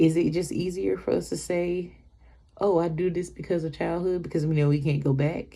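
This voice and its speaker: Amid audible room echo, a woman speaks at a fairly low pitch and a moderate pace, keeping her intonation fairly even. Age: 20s. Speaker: vlogger. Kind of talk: personal vlog monologue. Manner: halting.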